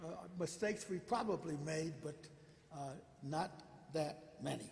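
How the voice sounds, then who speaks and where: Audible room echo and noticeable background noise accompany a man. He speaks at a fairly slow pace with ordinary pitch variation. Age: 90s. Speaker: synagogue elder. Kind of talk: speech to congregation. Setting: synagogue sanctuary with PA. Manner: halting.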